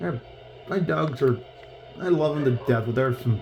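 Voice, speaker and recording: A man speaks at a moderate pace with lively intonation. Noticeable background noise can be heard. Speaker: gaming streamer. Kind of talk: gameplay commentary. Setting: home bedroom. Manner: animated.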